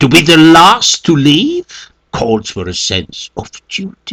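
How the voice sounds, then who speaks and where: A man talks in a put-on character voice at a very slow pace. The sound is dry and close, with no echo. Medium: read story. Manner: angry and contemptuous.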